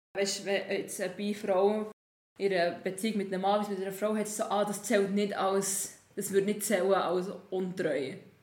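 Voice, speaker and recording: A woman speaks at medium pitch with monotone, flat intonation. Audible room echo surrounds her voice. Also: moderate pace. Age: 20s. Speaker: musician. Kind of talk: casual chat.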